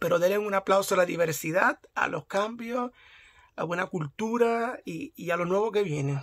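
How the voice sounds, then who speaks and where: A man with a Puerto Rican accent at a moderate pace. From Puerto Rico. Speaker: YouTuber. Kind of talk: vlog commentary. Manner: halting, with many fillers. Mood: enthusiastic, supportive. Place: home room. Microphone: phone near.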